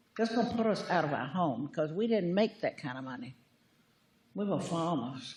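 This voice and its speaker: With a Virginia accent, a woman talks at a fairly quick pace and a fairly low pitch. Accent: rural Virginia Southern. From US South. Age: 80s+. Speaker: public commenter, retired farmer. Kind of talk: public comment at county meeting.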